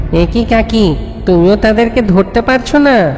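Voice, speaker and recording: A cartoonish character voice, fairly high-pitched and at a moderate pace, over clear background noise. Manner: cheeky, boastful.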